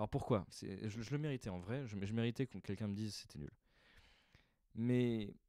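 Dry with no echo and set against a quiet background, a man's dark, mellow voice moves at a fairly quick pace in a deadpan tone. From France. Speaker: stand-up comedian. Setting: recording alone at home in the evening. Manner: casual, hesitant, improvised, filler-heavy, deadpan and self-deprecating. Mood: reflective, slightly rueful. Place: home room. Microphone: handheld.

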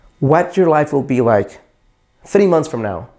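The tone is dark and mellow, with lively intonation, a moderate pace and a quiet background. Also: man. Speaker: dating coach. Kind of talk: advice talk to camera. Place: studio. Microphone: lapel.

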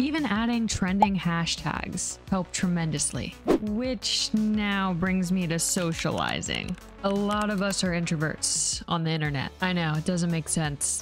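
A woman talks at a fairly slow pace in a fairly low pitch with ordinary pitch variation, her voice dry with no echo and faint music in the background. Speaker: content creator. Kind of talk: casual talk to camera. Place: home room. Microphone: studio mic.

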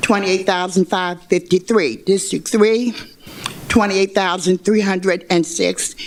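Noticeable background noise surrounds a woman whose pitch varies in an ordinary way. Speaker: public commenter at a hearing. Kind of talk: public hearing testimony. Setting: public hearing room, speaking at a microphone.

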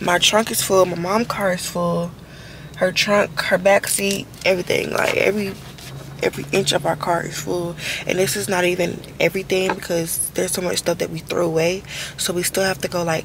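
Over light background noise, a woman speaks at a fairly quick pace with a dry sound and no echo. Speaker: vlogger. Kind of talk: casual vlog chat. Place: car. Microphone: phone near.

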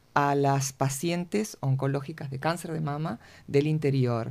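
Fairly slow speech in a Uruguayan accent on a very clean recording with a silent background. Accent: Rioplatense Spanish (Uruguayan). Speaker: cancer support group co-founder. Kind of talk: radio interview. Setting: radio studio.

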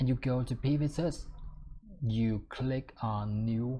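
Over light background noise, a man talks in a somewhat breathy voice with a dark, mellow tone. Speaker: software tutor. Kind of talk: tutorial. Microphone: webcam.

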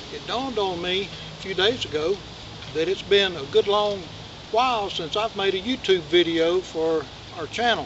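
Over noticeable background noise, a man talks at a moderate pace with long, frequent pauses. His voice is high, with ordinary pitch variation. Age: 60s. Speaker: channel host. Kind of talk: casual vlog update. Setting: outdoors in the woods. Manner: halting, with many fillers. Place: forest.

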